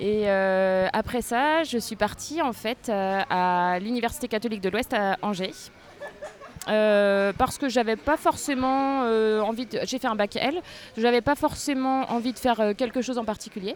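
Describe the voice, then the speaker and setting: This woman has an ordinary speaking voice, fairly high in pitch. She speaks at a fairly slow pace with ordinary pitch variation. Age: 30s. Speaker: school administration secretary. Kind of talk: interview. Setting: outdoors on a café terrace.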